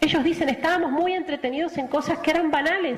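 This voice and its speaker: A woman speaks in an animated tone with a Rioplatense accent, over noticeable background noise. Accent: Argentine Spanish (rioplatense). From Argentina. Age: 40s. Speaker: missionary nun. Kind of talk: testimony.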